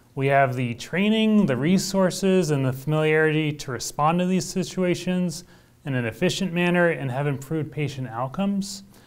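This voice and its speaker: A man with an American accent, fairly high in pitch, at a moderate pace with ordinary pitch variation. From Oklahoma, small town. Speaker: hospital physician. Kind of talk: interview. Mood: calm, earnest. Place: studio. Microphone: lapel.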